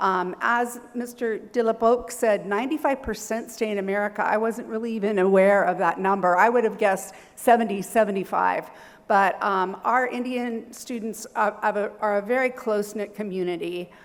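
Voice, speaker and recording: With a Californian accent, a woman talks at a moderate pace and a fairly high pitch, her intonation fairly even. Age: 60s. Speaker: university professor. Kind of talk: seminar presentation. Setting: seminar hall with audience.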